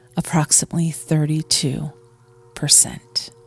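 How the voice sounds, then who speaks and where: With music in the background, a woman speaks at a fairly slow pace in a calm tone, her fairly low voice monotone and flat, the sound dry and close with no echo. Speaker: meditation guide. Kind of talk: guided meditation. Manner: calm, slow.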